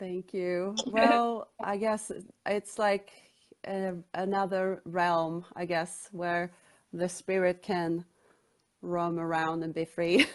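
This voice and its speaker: A woman with a Swedish accent, fairly low in pitch, at a very slow pace with long, frequent pauses and fairly even intonation. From Sweden, Stockholm. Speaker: author. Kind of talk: interview.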